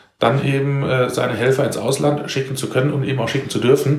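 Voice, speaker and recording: A man talks at a fairly quick pace in a medium-pitched, monotone, flat voice. Noticeable background noise and audible room echo fill the recording. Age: 40s. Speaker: civil protection volunteer leader. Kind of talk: interview.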